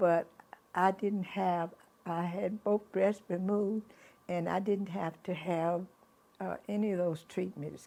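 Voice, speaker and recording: A woman of medium pitch speaks with a dark, mellow tone at a fairly slow pace. Her intonation is monotone and flat, broken by long, frequent pauses. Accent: Texas. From Houston, Texas. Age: 80s+. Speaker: grandmother. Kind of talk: interview answer.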